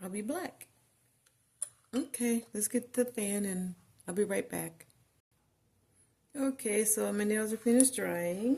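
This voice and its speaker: Somewhat breathy and dark, mellow in tone, a woman speaks at a fairly high pitch and a fairly slow pace, with ordinary pitch variation and long, frequent pauses. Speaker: nail art video creator. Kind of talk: tutorial. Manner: casual, hesitant.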